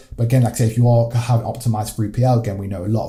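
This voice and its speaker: Speaking at a very fast pace, a man uses a dark, mellow, somewhat breathy tone at medium pitch with fairly even intonation. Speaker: agency founder teaching e-commerce. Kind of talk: tutorial.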